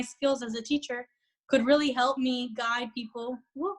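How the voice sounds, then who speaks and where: In a Spanish accent, a woman speaks at a high pitch with fairly even intonation. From Orlando, Florida. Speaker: real estate agent. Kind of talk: interview.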